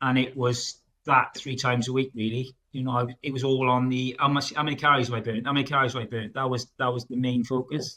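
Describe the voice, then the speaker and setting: Spoken at a very fast pace with hardly any pauses, this voice has a bright, sharp tone and a South Wales accent. The intonation stays monotone and flat throughout. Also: man, medium pitch for a man. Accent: Welsh (South Wales). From South Wales, Newport. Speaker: project manager, coaching client. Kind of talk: interview testimony. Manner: halting, many fillers; loud and outgoing.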